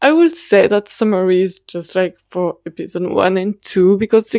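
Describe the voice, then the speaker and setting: Speaking at a fairly slow pace, a woman with a non-native accent has a dark, mellow tone. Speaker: YouTuber reviewing BL dramas. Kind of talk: casual review ramble. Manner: halting.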